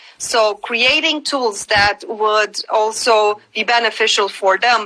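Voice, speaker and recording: A woman with a Romanian accent speaks at a very slow pace in a fairly high pitch. Her tone is bright and sharp, with ordinary pitch variation. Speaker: cultural rights advocate. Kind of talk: interview. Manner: halting, many fillers.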